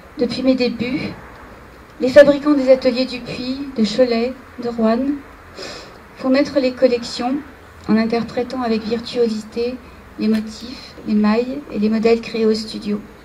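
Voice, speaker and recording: A woman's high-pitched voice at a fairly slow pace, monotone and flat, with long, frequent pauses and noticeable background noise. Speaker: fashion designer receiving an award. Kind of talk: acceptance speech. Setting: ceremony with audience.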